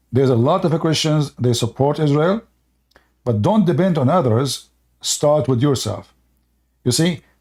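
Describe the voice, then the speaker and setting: In a very clean recording with a silent background, a somewhat breathy man with a fairly high pitch speaks at a moderate pace and very even loudness, with long, frequent pauses. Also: ordinary pitch variation. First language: Arabic. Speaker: religious debate livestream host. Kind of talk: heated debate. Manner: animated, insistent; halting, many fillers.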